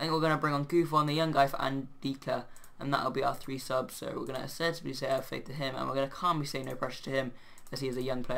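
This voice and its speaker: Someone speaks at a very fast pace. Noticeable background noise runs underneath. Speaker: gaming video creator. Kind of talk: let's play commentary. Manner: animated.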